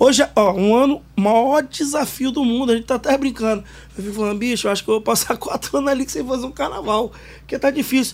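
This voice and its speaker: Talking at a very fast pace, a man with an extremely high pitch shows ordinary pitch variation amid noticeable background noise. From Espírito Santo, Brazil (Vitória, Morro do Quadro). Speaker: samba school league president. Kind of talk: podcast interview.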